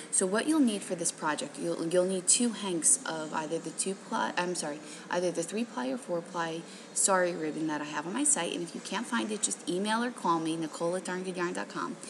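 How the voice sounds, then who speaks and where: Over noticeable background noise, a soft-spoken woman with a fairly low pitch talks at a fairly quick pace with lively intonation. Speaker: craft shop owner and tutorial host. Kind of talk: tutorial. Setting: hotel lobby. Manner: casual with many fillers.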